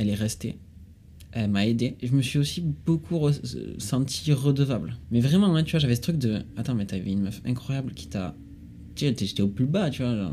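Speaking at a medium pitch in a dark, mellow, somewhat breathy tone, a man swings his pitch very widely and leaves long, frequent pauses. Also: moderate pace. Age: 20s. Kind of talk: casual chat.

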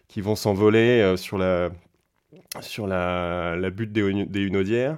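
Against a quiet background, a man speaks at a fairly slow pace with a fairly low pitch and fairly even intonation. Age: 30s. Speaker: classic car event competition manager. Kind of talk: interview. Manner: hesitant, many fillers and repetitions.

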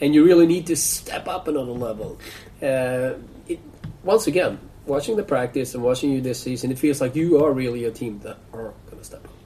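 Over noticeable background noise, a man talks at a fairly quick pace. His pitch sits in the medium range. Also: ordinary pitch variation, big swings in loudness. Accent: Swedish. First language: Swedish. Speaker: sports podcast host. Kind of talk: casual interview.

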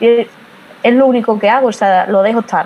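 Noticeable background noise surrounds a woman speaking at a fairly quick pace. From Spain, Badajoz (Extremadura). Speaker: social media marketing strategist. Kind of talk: interview.

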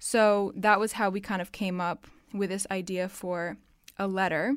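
A woman speaks at a fairly slow pace in a normal speaking voice, medium in pitch, with an American accent, on a very clean recording with a silent background. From half American, half Dutch. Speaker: university student. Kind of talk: casual interview. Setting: studio.

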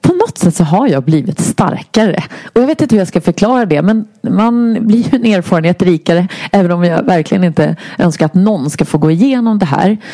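Fairly quick and with lively intonation, a woman of medium pitch keeps a very even loudness despite noticeable background noise. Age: 50s. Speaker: health inspirer and public speaker. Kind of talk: interview, personal illness testimony.

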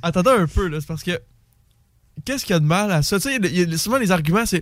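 A man's high-pitched voice, fairly quick and lively in intonation, on a very clean recording with a silent background. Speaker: student. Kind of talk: casual chat.

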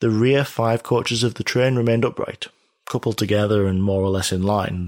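The very clean recording, with a silent background, captures a man with a British accent. He talks fairly quickly in a fairly low pitch with fairly even intonation. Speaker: true-crime podcast host. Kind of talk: true-crime documentary narration. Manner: measured, steady narrator; formal, detail-heavy delivery.

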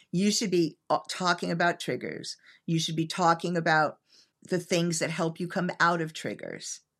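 Fairly low in pitch, a woman talks at a moderate pace with fairly even intonation. The recording is very clean, with a silent background. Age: 60s. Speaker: psychologist and sex therapist. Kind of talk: interview.

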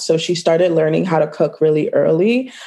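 With a Toronto accent, a woman speaks in a dark, mellow tone. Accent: Canadian (Toronto). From Toronto, Canada (Scarborough); born in Ghana, childhood in Virginia. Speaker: food business owner. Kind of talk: casual interview. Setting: call.

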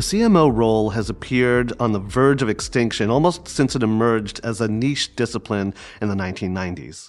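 A man at medium pitch, fairly quick pace and hardly any pauses, with ordinary pitch variation and music in the background. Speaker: podcast host. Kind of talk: interview.

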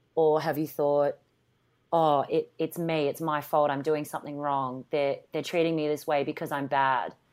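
Someone with an Australian accent speaks at a moderate pace in a very clean recording with a silent background. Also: woman. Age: 30s. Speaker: TV personality and actress. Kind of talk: casual chat. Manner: animated.

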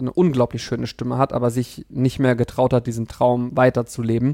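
A man talks at a fairly quick pace and a medium pitch. His tone is dark and mellow, and the sound is dry and close with no echo. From Germany, Kassel (northern Hesse). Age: 30s. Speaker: patient advocate and event organizer. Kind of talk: interview.

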